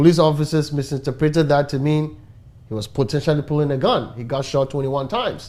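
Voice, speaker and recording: With a Ghanaian accent, a man talks at a very fast pace in a dark, mellow tone, his pitch fairly high and his pitch variation ordinary. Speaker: talk show host. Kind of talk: talk show discussion.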